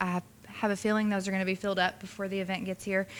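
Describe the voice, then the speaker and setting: A woman talks at a medium pitch with a bright, sharp tone. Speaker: parks director. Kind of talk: public meeting report. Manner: fast; animated.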